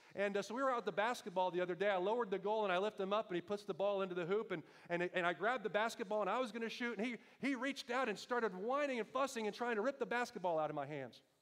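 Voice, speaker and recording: A loud man talks at a very fast pace in a high voice, his tone animated and his pitch variation ordinary. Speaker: pastor. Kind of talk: sermon.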